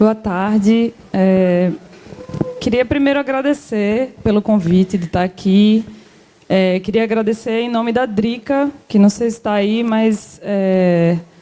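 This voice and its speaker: Speaking very slowly in an Alagoas accent, a woman uses a fairly high pitch with ordinary pitch variation. Background noise is noticeable. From Alagoas, Brazilian Northeast. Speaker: government cultural policy official. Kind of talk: panel talk.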